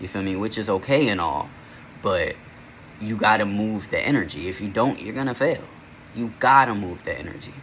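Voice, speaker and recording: At a moderate pace, a man with a fairly low pitch speaks with lively intonation against noticeable background noise. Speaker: vlogger. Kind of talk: casual vlog monologue. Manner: halting, self-correcting; casual, slangy.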